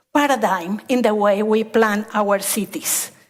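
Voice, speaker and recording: A woman in a Spanish accent at a very slow pace. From Colombia, coffee region. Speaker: landscape architect. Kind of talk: conference talk.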